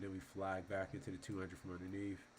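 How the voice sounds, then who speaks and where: The man's pitch is very deep and low. He talks at a very fast pace. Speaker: stock market commentator. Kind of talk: casual market recap with chart walkthrough. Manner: halting, many fillers.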